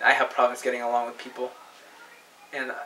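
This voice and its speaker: A man speaks against noticeable background noise. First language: not English. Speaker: paranormal video blogger. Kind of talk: personal testimony monologue. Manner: halting, many repetitions and false starts.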